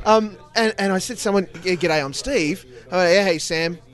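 With noticeable background noise behind him, a man speaks at a high pitch and a fairly slow pace with ordinary pitch variation. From Australia. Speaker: podcast host. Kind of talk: casual interview chat. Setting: at a live podcast festival.

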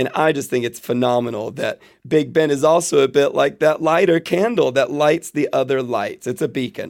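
This man has an American accent and a moderate pace. His pitch shows ordinary variation. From Florida, US, teen years in Jerusalem. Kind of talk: casual chat. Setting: remote call.

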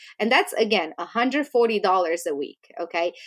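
On a very clean recording with a silent background, a woman speaks at a fairly high pitch with a Romanian accent. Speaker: business founder and CEO. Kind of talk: casual interview chat.

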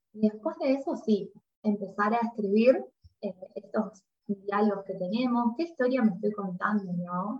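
Speaking in a Rioplatense accent, a woman with a fairly high, somewhat breathy voice talks at a fairly slow pace, her intonation lively and her loudness swinging widely. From Argentina. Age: 30s. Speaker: psychologist. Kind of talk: interview conversation.

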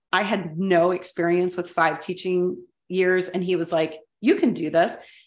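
A woman talks at a moderate pace and a medium pitch. She has an ordinary speaking voice. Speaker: podcast co-host, educator. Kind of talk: casual chat, interview.

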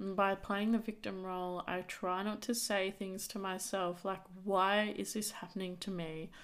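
A woman speaks at a medium pitch and moderate pace, with hardly any pauses. Her intonation is monotone and flat. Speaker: podcast host. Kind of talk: solo monologue podcast. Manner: casual, unscripted.

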